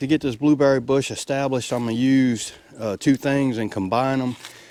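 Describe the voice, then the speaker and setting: This is a man talking. He has a Mississippi accent. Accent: Southern US, rural Mississippi. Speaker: homesteader. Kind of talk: casual how-to talk to camera. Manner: folksy, friendly.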